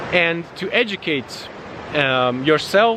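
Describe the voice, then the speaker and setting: A man speaks with ordinary pitch variation against noticeable background noise. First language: not English. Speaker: vlogger, digital nomad. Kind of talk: casual outdoor vlog monologue. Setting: outdoors in nature. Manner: halting, many fillers.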